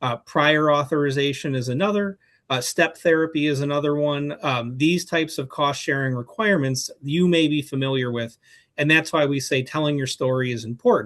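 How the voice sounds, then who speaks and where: Against a quiet background, a man with an American accent speaks at a fairly high pitch with ordinary pitch variation. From Chicago, US Midwest. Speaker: healthcare policy advocate. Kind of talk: webinar presentation. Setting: online webinar. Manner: fast.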